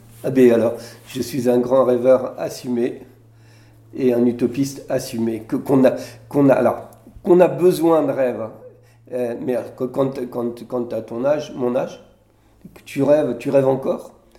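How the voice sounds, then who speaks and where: Pausing long and often, a man speaks at a fairly slow pace with medium pitch, fairly even intonation and a dark, mellow tone. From Brittany, France (Morbihan, near Vannes). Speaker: senator. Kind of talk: interview in front of an audience. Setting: public recording with audience. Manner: halting, many repetitions and hesitations.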